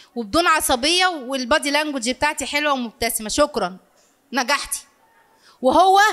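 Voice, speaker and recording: A woman with a high pitch sounds bright, sharp and animated, holding a very even loudness at a moderate pace. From Egypt. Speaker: family counselor and lecturer; lecturer. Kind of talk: live lecture to audience. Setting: lecture hall with audience. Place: hall. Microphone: handheld.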